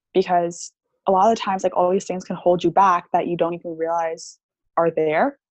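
A woman speaks at a fairly low pitch, her intonation monotone and flat. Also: fairly quick pace. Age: 20s. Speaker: theta healing practitioner and meditation coach. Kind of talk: interview conversation.

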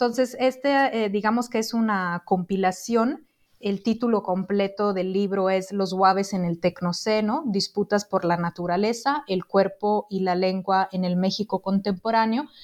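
A woman speaks at a fairly slow pace and medium pitch, with ordinary pitch variation. It is a normal speaking voice over a quiet background. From Italy. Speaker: social anthropologist, book editor. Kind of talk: interview about her book.

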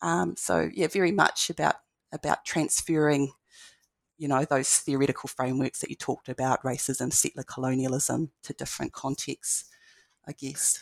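A woman's very deep, low voice with vocal fry, a New Zealand accent and a moderate pace, dry and close with no echo. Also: lively intonation. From New Zealand, Marlborough (Blenheim). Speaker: lecturer in education. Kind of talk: interview.

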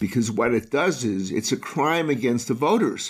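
A man speaks with very wide swings in pitch. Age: 80s+. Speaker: civil rights defense attorney. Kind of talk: interview. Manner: halting.

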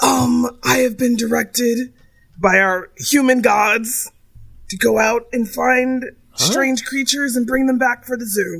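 A put-on character voice, fairly high in pitch and fairly slow. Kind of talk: formal, official-sounding. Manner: disguised, affected different voice.

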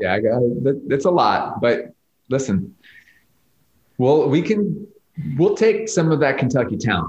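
Somewhat breathy and fairly high-pitched, a man speaks at a fairly slow pace with long, frequent pauses, very wide pitch swings and very even loudness. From New York. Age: 40s. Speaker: restaurant guide co-founder. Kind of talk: casual chat. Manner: animated.

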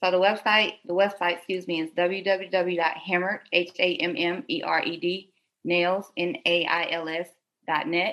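A woman with an American accent speaks at a fairly low pitch. She goes very slowly, with fairly even intonation. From Detroit, Michigan (born South Carolina). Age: 20s. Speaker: nail business entrepreneur. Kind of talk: casual interview. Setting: remote call.

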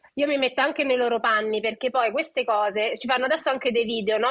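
Over noticeable background noise, a woman speaks very fast in a high pitch with an animated tone. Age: 30s. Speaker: nutrition educator. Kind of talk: casual chat.

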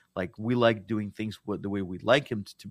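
A man with a Russian accent talks at a moderate pace in a fairly low pitch, with a dry, close sound and no echo. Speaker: business founder and CEO. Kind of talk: interview conversation.

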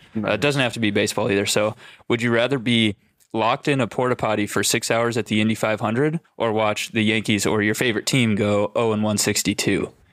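An unremarkable speaking voice: a man with an American accent, fairly low pitch, fairly even intonation, very even loudness and a fairly quick pace, on a very clean recording with a silent background. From Minnesota. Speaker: college baseball coach. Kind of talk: casual chat.

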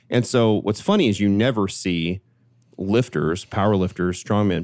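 A man with a normal speaking voice talks at a fairly low pitch. The recording is very clean, with a silent background. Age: 40s. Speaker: strength coach and fitness company executive. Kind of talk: casual chat.

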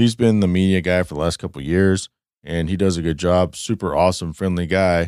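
On a very clean recording with a silent background, a man with a very deep, low pitch speaks at a fairly quick pace and fairly even intonation. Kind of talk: casual chat. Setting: studio.

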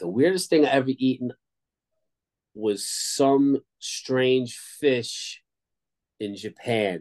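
A man's medium-pitched voice with a New York accent, lively intonation, long and frequent pauses, and a dry, close sound with no echo. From Long Island, New York. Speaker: punk band bassist. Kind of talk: casual interview. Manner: halting.

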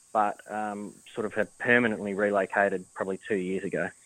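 A man with an Australian accent speaks at a moderate pace, fairly low in pitch with a bright, sharp tone. The recording is very clean, with a silent background and a dry, close sound with no echo. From Adelaide, South Australia. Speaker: racehorse trainer. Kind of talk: casual interview.

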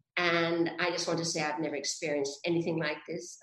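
In a flat monotone, a woman talks at a fairly low pitch. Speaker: actress. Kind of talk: casual video interview. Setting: video call.

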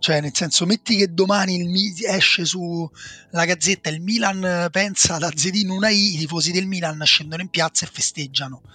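This man's high-pitched voice has a bright, sharp tone, moving at a moderate pace with fairly even intonation in a dry, close sound with no echo. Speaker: football podcast co-host. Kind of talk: casual chat.

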